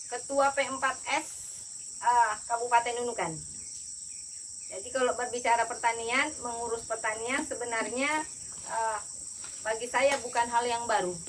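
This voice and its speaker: Loud and high-pitched, a woman talks with long, frequent pauses. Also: fairly even intonation, moderate pace. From Central Java (Solo). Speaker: agricultural official. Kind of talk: official speech.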